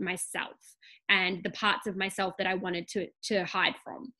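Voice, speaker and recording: Against a quiet background, a woman with an Australian accent speaks in a bright, sharp tone. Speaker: business coach and podcast host. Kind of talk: casual interview.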